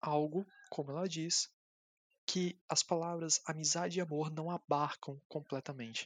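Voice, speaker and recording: On a very clean recording with a silent background, a man speaks at a fairly slow pace with a fairly high pitch and fairly even intonation. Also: dry, close sound with no echo. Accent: Brazilian. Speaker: podcast guest discussing films. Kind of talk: casual chat.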